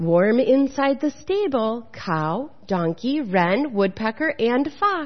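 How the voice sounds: A natural reading voice comes through with lively intonation.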